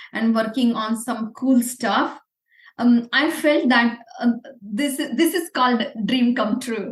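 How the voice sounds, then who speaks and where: A woman's high-pitched voice with a Marathi Indian accent, fairly slow in pace, with ordinary pitch variation. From India, Pune. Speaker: entrepreneur. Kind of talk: interview.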